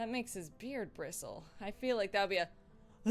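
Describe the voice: Plain reading aloud. Nothing more stands out.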